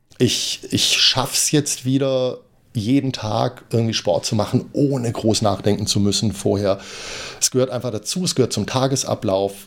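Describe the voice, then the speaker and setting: Pitch shifts in an ordinary way. The speed is moderate. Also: man, medium pitch for a man. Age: 40s. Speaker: running podcaster. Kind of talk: solo podcast monologue, running diary. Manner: hesitant, many fillers.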